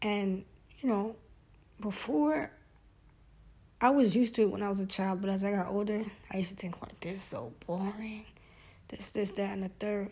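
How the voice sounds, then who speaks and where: A woman with a Brooklyn accent talks at a medium pitch. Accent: New York (Brooklyn). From US Northeast, Brooklyn, New York. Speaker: podcast host. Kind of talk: solo casual monologue.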